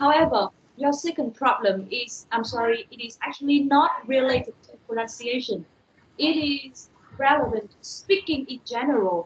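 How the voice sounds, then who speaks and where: A woman speaks with a Vietnamese accent at a high pitch. Her intonation is lively and her pace moderate. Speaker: university lecturer. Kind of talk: online lecture.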